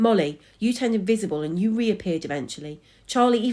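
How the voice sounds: With lively intonation, the text is read in a natural reading voice.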